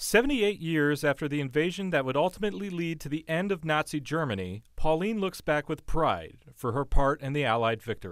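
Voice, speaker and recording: A man's plain, everyday voice at a fairly high pitch, with lively intonation, a fairly quick pace and hardly any pauses, in a very clean recording with a silent background. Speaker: TV news reporter. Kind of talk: TV news report narration.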